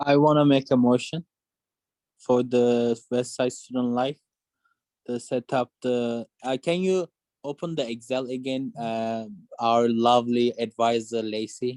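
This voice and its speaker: In a dry, close recording with no echo, a man with a non-native accent speaks at a medium pitch and a fairly slow pace, his intonation fairly even. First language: not English. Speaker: student committee member. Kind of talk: committee meeting discussion. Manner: halting.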